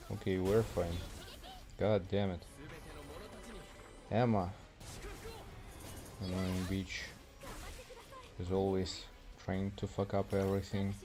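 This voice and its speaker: A man with a non-native accent speaks at a very slow pace, with long, frequent pauses. His very deep, low voice stays monotone and flat. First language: not English. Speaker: gaming streamer. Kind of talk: live gameplay stream. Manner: casual, chatty.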